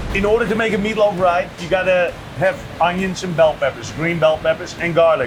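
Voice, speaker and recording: With a Dutch accent and a high pitch, a man speaks at a fairly quick pace and fairly even intonation over noticeable background noise. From Netherlands. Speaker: restaurant owner and chef. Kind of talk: casual interview and cooking demonstration.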